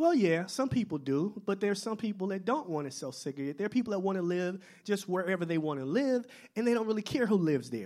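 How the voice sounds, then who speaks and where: The speaker talks at a very fast pace with lively intonation. The recording is very clean, with a silent background. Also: man. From Milwaukee, Wisconsin (born in Mississippi). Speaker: public speaker on race and segregation. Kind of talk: lecture.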